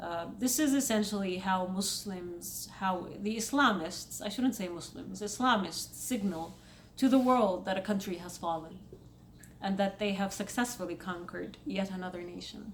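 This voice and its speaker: A woman with an Egyptian accent talks at a moderate pace and medium pitch with ordinary pitch variation and big swings in loudness, with audible room echo around her. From Saudi Arabia. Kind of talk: casual commentary vlog.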